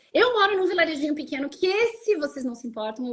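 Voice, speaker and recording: Speaking at a very fast pace, a woman with a Rio Grande do Sul accent moves through very wide pitch swings. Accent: southern Brazilian (gaúcho-sounding). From southern Brazil, Santa Catarina. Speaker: Brazilian expat content creator. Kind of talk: casual interview chat.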